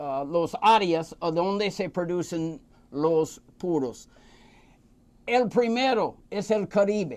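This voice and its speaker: With an American accent, a man speaks at a very slow pace, his pitch high and his intonation lively. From United States. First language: English (speaking Spanish). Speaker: cigar expert. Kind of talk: casual interview. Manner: halting, hesitant.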